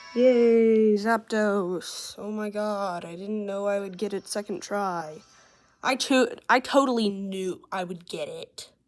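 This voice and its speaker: This woman talks very slowly at a medium pitch, her intonation fairly even. Her volume rises and falls sharply over a very clean recording with a silent background. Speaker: gaming youtuber. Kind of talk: gameplay tutorial. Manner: shaky, halting.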